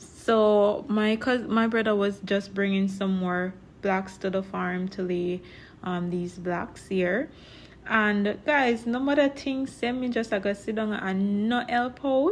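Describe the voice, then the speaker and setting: With a Jamaican accent, the speaker goes at a very slow pace, with ordinary pitch variation. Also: woman, medium pitch for a woman. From Jamaica, Portland parish. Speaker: vlogger and farmer. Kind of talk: casual vlog narration.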